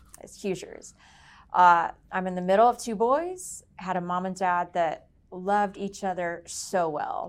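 A woman's an ordinary speaking voice with an American accent, medium in pitch, fairly slow and fairly even in intonation, with big swings in loudness, on a very clean recording with a silent background. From Indiana, US Midwest. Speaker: sales executive. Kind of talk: casual chat.

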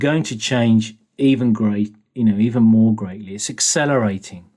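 A man's voice with a British accent, fairly slow pace and lively intonation. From England. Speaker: engineering business executive. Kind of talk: interview.

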